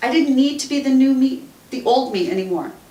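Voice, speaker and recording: A woman speaks with a tearful tone and an American accent, her pitch high, at a moderate pace. Noticeable background noise is present. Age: 50s. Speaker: radio talk show host and author. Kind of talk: author reading own book. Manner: emotional, tearful.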